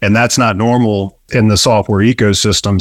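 In an ordinary speaking voice, a man of medium pitch talks at a fairly quick pace with fairly even intonation, the sound dry and close with no echo on a very clean recording with a silent background. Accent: American. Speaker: business founder. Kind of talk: casual interview.

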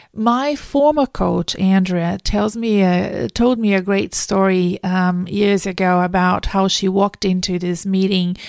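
A woman with a Brazilian accent talks at a fairly slow pace and medium pitch. The sound is dry and close, with no echo. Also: very clean recording, silent background. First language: Portuguese. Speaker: career coach and podcast host. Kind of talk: solo podcast monologue.

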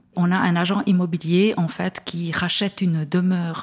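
Here a woman speaks in a fairly low, somewhat breathy voice. She keeps a moderate pace. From Switzerland, Neuchâtel. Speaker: first-time fiction author. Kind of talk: interview. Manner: hesitant, many fillers.

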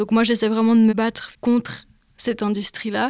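A woman speaks at a moderate pace in a fairly high pitch with a normal speaking voice. The sound is dry and close, with no echo. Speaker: climate activist. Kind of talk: casual chat.

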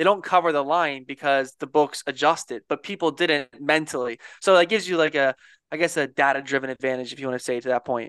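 Talking at a very fast pace, a man with an American accent and a fairly high pitch uses ordinary pitch variation, in a dry, close sound with no echo. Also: quiet background. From Philadelphia, US. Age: 20s. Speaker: sports bettor. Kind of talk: casual chat.

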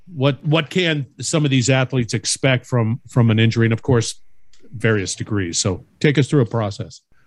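On a very clean recording with a silent background, a man speaks at a moderate pace in a somewhat breathy, medium-pitched voice with ordinary pitch variation and very even loudness. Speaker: podcast host. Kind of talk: casual interview chat. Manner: chatty, upbeat.

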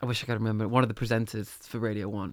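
The sound is dry and close, with no echo. A man talks at a medium pitch in a Mancunian accent. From Manchester, England. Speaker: musician. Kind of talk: casual chat. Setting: studio.

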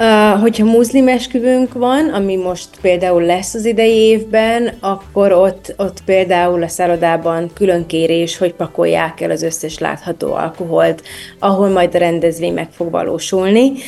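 Over music in the background, the speech moves at a fairly slow pace with hardly any pauses. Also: woman, medium pitch for a woman, ordinary pitch variation. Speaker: destination wedding planner. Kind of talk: interview.

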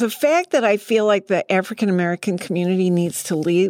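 At a medium pitch, a woman with an unremarkable speaking voice talks at a moderate pace in a dry, close sound with no echo. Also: very clean recording, silent background. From Massachusetts, New England. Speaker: city council member. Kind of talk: podcast interview. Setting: studio.

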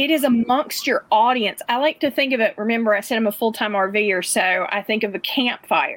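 A woman with an unremarkable speaking voice talks at a moderate pace with hardly any pauses. Her pitch is fairly high and varies an ordinary amount. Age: middle-aged. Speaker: community building director, former educator. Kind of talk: casual interview.

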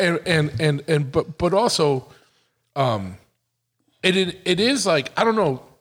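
Speaking at a fairly slow pace with long, frequent pauses, a man uses a fairly high pitch and an American accent. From Massachusetts, New England. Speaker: podcast host. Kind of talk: casual chat. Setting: motorcycle shop.

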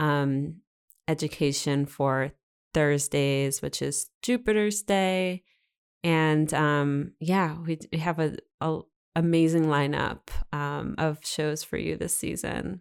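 The recording is very clean, with a silent background. A woman speaks very slowly in a very deep, low pitch with ordinary pitch variation. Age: 30s. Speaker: astrology podcast host. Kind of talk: casual chat. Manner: animated.

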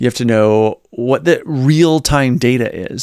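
This man has an ordinary speaking voice with an American accent, a medium pitch and ordinary pitch variation. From Virginia, US South. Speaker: podcast co-host. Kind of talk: casual chat, podcast discussion. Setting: video podcast.

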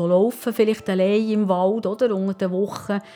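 A woman with a normal speaking voice, medium pitch and fairly even intonation. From Bern Seeland, Switzerland. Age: 60s. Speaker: wife of heart attack patient. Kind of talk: interview.

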